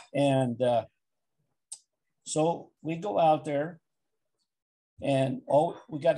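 Against a quiet background, a man speaks with a fairly high pitch, a somewhat breathy voice and a dark, mellow tone. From Wyoming. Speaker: interviewee. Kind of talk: oral history interview answer. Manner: hesitant, conversational storytelling. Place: home room. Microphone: video call.

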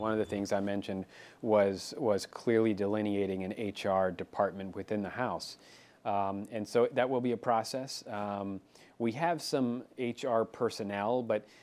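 The pace is fairly slow and the intonation fairly even. It is an unremarkable speaking voice. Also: man, fairly low pitch for a man. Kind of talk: interview answer. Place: office. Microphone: lapel.

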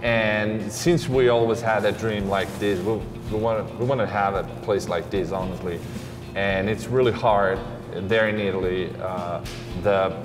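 Noticeable background noise accompanies a man speaking at a fairly slow pace and a fairly low pitch. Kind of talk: interview answer. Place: cafe.

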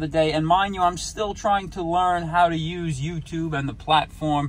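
A man at a moderate pace, pitch varying in an ordinary way. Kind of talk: casual vlog chat. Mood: joking, playful. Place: car. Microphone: phone near.

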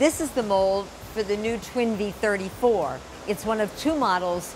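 Noticeable background noise surrounds a woman who speaks fairly slowly. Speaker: factory tour host. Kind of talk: presenter tour commentary. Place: factory. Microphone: lapel.

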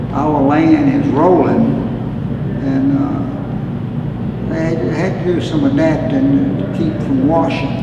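Over loud background noise and audible room echo, a man with a Southern US accent speaks at a very slow pace. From Alabama. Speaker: retired farm equipment dealer. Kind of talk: interview answer. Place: empty room.

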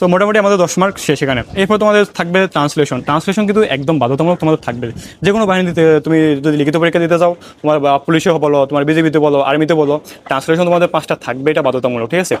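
A man has an unremarkable speaking voice, pitched fairly high for a man. His pitch varies in an ordinary way and his loudness stays very even. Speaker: exam prep YouTuber. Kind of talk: tutorial. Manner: casual, informal.

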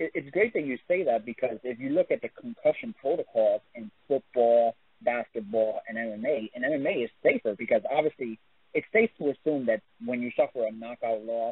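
With a New York accent, a man talks at a moderate pace. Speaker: MMA interviewer. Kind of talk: interview. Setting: phone call.

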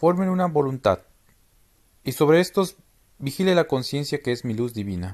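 Over a silent background in a very clean recording, a man with a fairly high pitch talks at a moderate pace, with very wide pitch swings and long, frequent pauses. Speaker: narrator reading spiritual doctrine. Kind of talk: scripted reading of solemn religious teachings, in the voice of a divine speaker.

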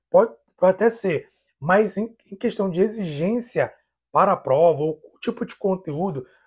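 Against a quiet background, a man speaks at a moderate pace in an animated tone with lively intonation. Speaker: YouTuber on IT civil service exams. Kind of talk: casual vlog talk. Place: home room. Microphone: lapel.

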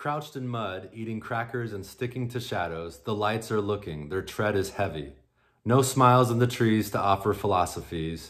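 A man with a plain, everyday voice, fairly low in pitch with ordinary pitch variation, at a moderate pace over a quiet background. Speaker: poet. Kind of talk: poetry reading, performed aloud from written poems. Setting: virtual conference roundtable, recorded video. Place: home room. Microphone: webcam.

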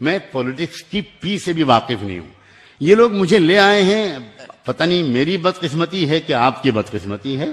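Pitched fairly high, a man talks at a fairly slow pace with very wide swings in pitch. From India. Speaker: Islamic scholar. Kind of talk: speech. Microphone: podium.

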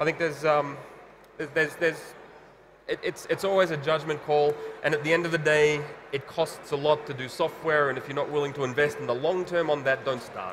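Over noticeable background noise, a man with a fairly high voice talks at a fairly quick pace in a monotone, flat intonation. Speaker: telecom open source engineer. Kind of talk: panel discussion. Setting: conference stage with live audience. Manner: halting, many fillers and repetitions. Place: stage.

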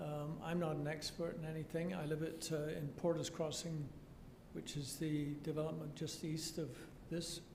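A soft-spoken man talks with a fairly high pitch and monotone, flat intonation. Audible room echo surrounds his voice. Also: moderate pace. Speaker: resident speaking at public hearing. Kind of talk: public comment. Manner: halting.

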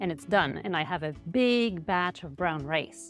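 Clear music plays behind a woman who speaks at a fairly slow pace in a dry sound with no echo. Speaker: food blogger. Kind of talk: tutorial. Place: kitchen. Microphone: lapel.

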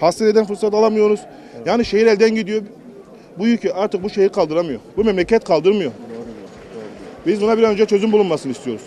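A man's high voice at a very fast pace, dry with no echo, over light background noise. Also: ordinary pitch variation. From Turkey. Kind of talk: complaint to politician. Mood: worried, pleading. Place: street.

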